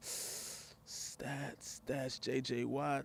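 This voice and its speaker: The sound is dry and close with no echo, and the recording is very clean with a silent background. A man with an American accent speaks at a medium pitch. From Texas, Houston. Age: 30s. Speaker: web show host. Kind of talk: casual commentary show, sports talk. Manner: animated.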